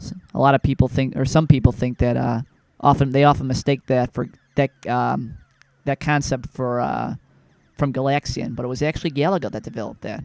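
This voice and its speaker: The sound is dry and close with no echo. A man talks fairly quickly at a medium pitch with fairly even intonation. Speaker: video game reviewer. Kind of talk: casual gameplay commentary. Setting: at home at night. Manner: hushed, keeping voice down; halting, many fillers.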